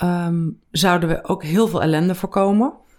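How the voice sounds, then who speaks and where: At a very slow pace, a woman speaks at medium pitch. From Netherlands, Veluwe (Gelderland). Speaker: finance author and entrepreneur. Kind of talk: casual interview. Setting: in person.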